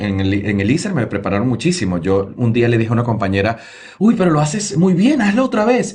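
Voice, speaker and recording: Over noticeable background noise and audible room echo, a man speaks very fast with lively intonation. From Venezuela, Lara state near Barquisimeto. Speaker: TV news presenter. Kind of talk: interview storytelling. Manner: animated.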